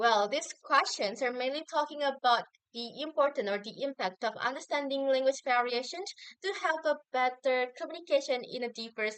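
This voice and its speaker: A high-pitched woman with a strong Javanese accent, at a moderate pace. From Indonesia, Javanese community. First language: Javanese or Indonesian. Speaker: university student. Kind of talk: recorded assignment answer video. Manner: hesitant with fillers.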